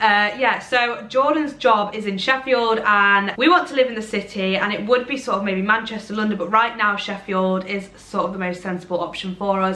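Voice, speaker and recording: With a Derbyshire accent, a woman speaks at a moderate pace and medium pitch, with ordinary pitch variation and hardly any pauses. Her loudness swings widely, and the recording has audible room echo and noticeable background noise. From Derbyshire, England. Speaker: social media creator. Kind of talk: casual chat to camera. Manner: chatty, rambling with fillers.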